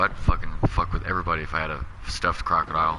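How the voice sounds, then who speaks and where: A man talks at a very fast pace in an animated tone, with noticeable background noise behind him. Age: 30s. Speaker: gaming live streamer. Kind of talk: casual chat.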